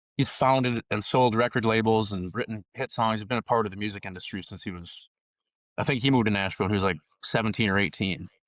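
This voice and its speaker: A man talks at a very fast pace with an Upper Midwest accent. His pitch sits fairly low and his intonation stays fairly even. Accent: Upper Midwest American. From northern Minnesota. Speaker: country musician. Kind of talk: podcast interview. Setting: home recording on Memorial Day. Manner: casual, many fillers.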